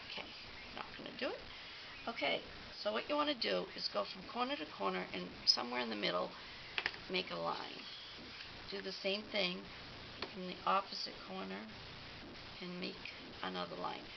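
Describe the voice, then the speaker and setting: Very wide pitch swings and long, frequent pauses come through over noticeable background noise. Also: woman, very deep, low pitch for a woman, moderate pace. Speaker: paper crafting demonstrator. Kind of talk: tutorial. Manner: halting, many fillers.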